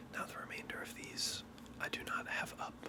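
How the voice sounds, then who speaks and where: A man whispers at a fairly slow pace as noticeable background noise runs behind him. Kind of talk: casual ASMR talk to camera. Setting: home recording with background noise (AC, passing cars). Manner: casual, conversational, with fillers.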